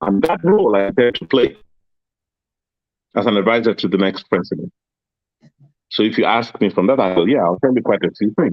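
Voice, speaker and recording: The pace is fairly quick and the intonation lively. Long, frequent pauses break up the speech. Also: man, fairly low pitch for a man. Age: 60s. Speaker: media executive. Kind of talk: interview.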